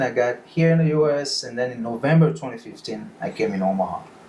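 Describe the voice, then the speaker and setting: With a West African accent, a man with a fairly high pitch talks at a very fast pace over noticeable background noise. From Benin. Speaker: freemason, lodge officer. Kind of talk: casual podcast interview.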